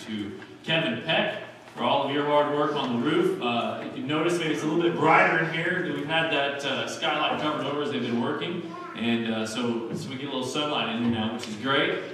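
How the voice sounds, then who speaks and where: A man at a fairly quick pace amid strong room echo and noticeable background noise. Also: ordinary pitch variation. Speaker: pastor. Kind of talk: church announcements. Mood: warm, light-hearted. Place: church.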